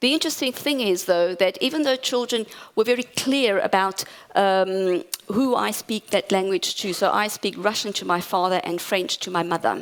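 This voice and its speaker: A woman at medium pitch, lively in intonation, at a moderate pace. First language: Portuguese. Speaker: academic conference speaker. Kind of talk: conference talk.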